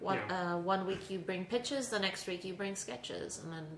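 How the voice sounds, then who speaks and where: There is noticeable background noise as a woman speaks. She has an American accent, a medium pitch and a moderate pace. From New York City. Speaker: improv comedian. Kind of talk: casual chat.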